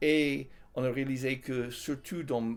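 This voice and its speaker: On a very clean recording against a silent background, this man's intonation stays fairly even. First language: English (speaking French). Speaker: Bible college teacher and author. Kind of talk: interview. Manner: hesitant, many fillers.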